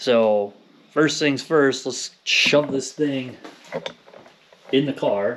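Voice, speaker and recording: A man talks very slowly, and the room echo is audible beneath noticeable background noise. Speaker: car DIY vlogger. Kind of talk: casual garage vlog tutorial. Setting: home garage. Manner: casual, filler-heavy.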